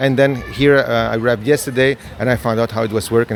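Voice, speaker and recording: Noticeable background noise is heard here. Over it, a man speaks very fast with ordinary pitch variation. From Spain, Barcelona. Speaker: creative director and scenographer. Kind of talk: interview. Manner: halting, many fillers and restarts.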